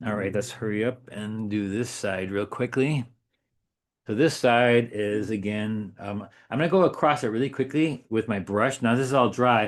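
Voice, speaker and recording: Against a quiet background, a man talks at a medium pitch with ordinary pitch variation. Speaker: watercolor artist and teacher. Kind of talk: painting demonstration tutorial. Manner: fast.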